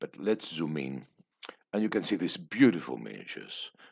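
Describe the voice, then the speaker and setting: A man's voice with vocal fry and lively intonation. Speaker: tabletop wargaming youtuber. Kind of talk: book flip-through review. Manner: hesitant, many fillers; fast.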